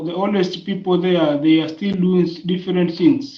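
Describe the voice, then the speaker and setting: A man with a Tanzanian accent, high in pitch, at a moderate pace with fairly even intonation. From Tanzania, Tanga region. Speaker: primary school teacher. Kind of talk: interview answer.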